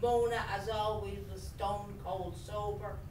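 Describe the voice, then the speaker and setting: Speaking very slowly with a Dublin accent, a woman is heard with audible room echo and light background noise. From Dublin, Ireland. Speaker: writer. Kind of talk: reading aloud. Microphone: camera far.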